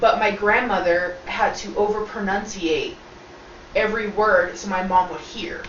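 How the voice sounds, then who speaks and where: Against noticeable background noise and audible room echo, a woman speaks at a fairly slow pace. Her pitch varies in an ordinary way while her loudness swings widely. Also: medium pitch for a woman. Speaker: video co-host. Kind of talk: casual chat. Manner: talkative.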